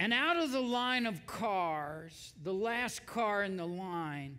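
The speaker is a man. His voice has a bright, sharp tone. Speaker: preacher. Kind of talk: sermon. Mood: dramatic personal story. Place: church.

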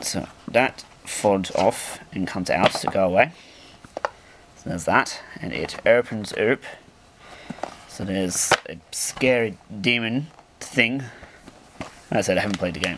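Pausing long and often, a man talks with a fairly low pitch and ordinary pitch variation against noticeable background noise. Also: big swings in loudness. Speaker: gaming YouTuber. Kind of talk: unboxing video. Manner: rambling, jokey. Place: home room. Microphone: camera far.

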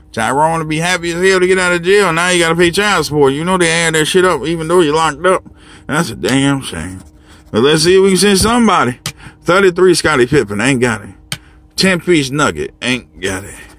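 Over faint music in the background, a man with an American accent talks at a fairly quick pace in a dry sound with no echo. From Chicago. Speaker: lottery scratch-off video creator, trucker; lottery scratch-off video creator. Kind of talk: casual monologue scratching lottery tickets on camera. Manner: animated, profane. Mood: joking, profane, relaxed. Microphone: phone near.

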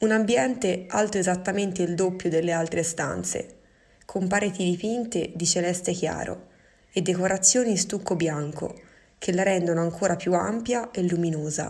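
A woman speaks in an unremarkable speaking voice at a medium pitch. Her pace is moderate, with ordinary pitch variation. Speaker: museum storyteller. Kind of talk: scripted dramatic narration, wistful and evocative, read aloud as digital storytelling. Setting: recorded voiceover during lockdown.

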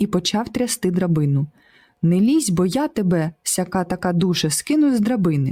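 Someone is reading aloud in a natural voice with lively intonation.

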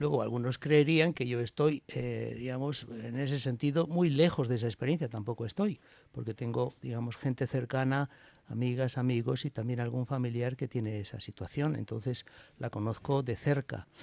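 The man talks at a moderate pace, and the sound is dry with no echo. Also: ordinary pitch variation. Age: 60s. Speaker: bishop. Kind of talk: radio interview. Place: studio. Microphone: studio mic.

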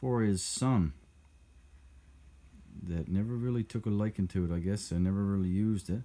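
A man speaks with a very deep, low pitch. His pace is fairly slow. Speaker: vehicle hobbyist vlogger. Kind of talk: casual vlog chat. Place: garage. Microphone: phone near.

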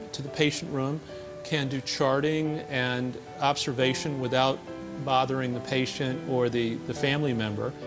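A man speaking at a moderate pace with ordinary pitch variation, clear music in the background. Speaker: architecture professor. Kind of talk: interview answer and walkthrough explanation. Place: hall. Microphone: lapel.

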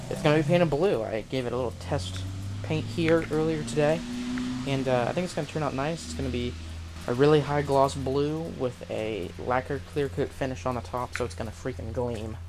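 Music sits in the background. The talking goes at a fairly quick pace. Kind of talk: casual vlog chat. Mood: relaxed, joking. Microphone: phone near.

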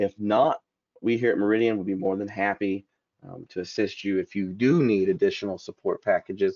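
This voice carries a Southern US accent. The pace is fairly quick. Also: man. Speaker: software support engineer. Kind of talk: webinar presentation. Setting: video call webinar. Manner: friendly, casual, hesitant with fillers.

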